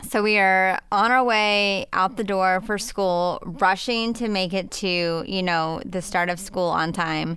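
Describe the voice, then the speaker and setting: Speaking at a very slow pace, a woman with a medium pitch uses a bright, sharp tone and fairly even intonation. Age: 40s. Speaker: podcast co-host and parent. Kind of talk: casual chat.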